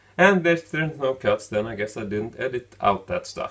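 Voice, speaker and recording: This man speaks with a Swedish accent. His pitch varies in an ordinary way, and his pace is moderate. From Sweden. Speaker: film review YouTuber. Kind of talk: running commentary. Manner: halting, with filler words.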